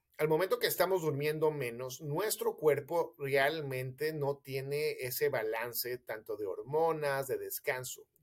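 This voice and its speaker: A man speaks with a Mexican accent. His voice is fairly high in pitch and somewhat breathy. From Mexico City. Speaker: physician. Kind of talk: interview, explaining health myths.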